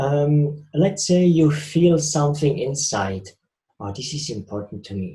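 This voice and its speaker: A man with a Swiss accent talks at a fairly slow pace and fairly high pitch. His dark, mellow tone is somewhat breathy, with lively intonation. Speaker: spiritual speaker.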